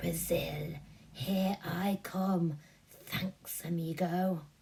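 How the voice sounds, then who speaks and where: A woman's raspy, hissing put-on character voice, fairly low in pitch and at a very slow pace. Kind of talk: casual, playful.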